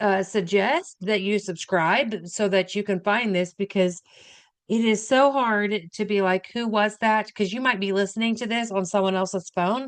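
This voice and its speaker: In a normal speaking voice, a woman talks at a fairly slow pace and medium pitch. Her pitch varies in an ordinary way, over a quiet background. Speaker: registered nurse, health educator. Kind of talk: educational talk. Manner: casual, conversational.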